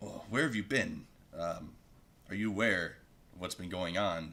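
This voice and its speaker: In a put-on character voice, a man speaks at a moderate pace with a very deep, low pitch and a raspy edge. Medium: actual play. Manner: authoritative.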